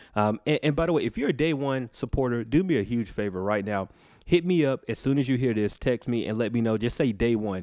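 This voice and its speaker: Medium pitch, ordinary pitch variation and a fairly quick pace from a man with an American accent. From Georgia, Macon. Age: 30s. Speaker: podcast host, music artist. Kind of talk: casual interview chat; show intro monologue.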